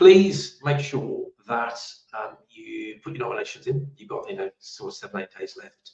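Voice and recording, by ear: A man's croaky, put-on character voice at a moderate pace, with big swings in loudness.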